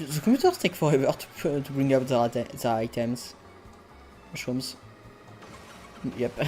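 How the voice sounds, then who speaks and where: A speaker with a non-native accent talks at a moderate pace, with long, frequent pauses. Music plays in the background. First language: not English. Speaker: video game streamer. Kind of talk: live gameplay commentary. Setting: live stream. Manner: hesitant, self-correcting.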